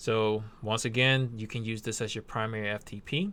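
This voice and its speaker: On a very clean recording with a silent background, a man has an ordinary speaking voice at medium pitch with ordinary pitch variation. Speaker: web hosting tutorial maker. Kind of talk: screen-recorded tutorial. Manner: casual.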